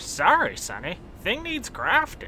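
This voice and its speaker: A high-pitched put-on character voice over clear background noise. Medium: audio drama. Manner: folksy, chuckling.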